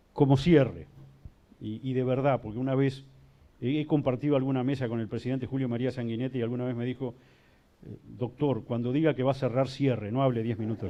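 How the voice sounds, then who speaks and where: Using a normal speaking voice, a man speaks fairly quickly at a medium pitch with fairly even intonation. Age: 60s. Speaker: judge. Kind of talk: panel talk.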